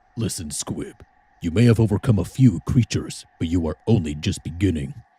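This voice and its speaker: A man speaks in a put-on character voice with a very deep, low pitch. His pace is fairly quick. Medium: game stream. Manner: grave.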